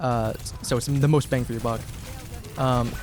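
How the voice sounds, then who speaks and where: Music plays in the background. Over it, a man speaks at medium pitch. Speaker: game coach. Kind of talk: coaching session reviewing gameplay. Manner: fast.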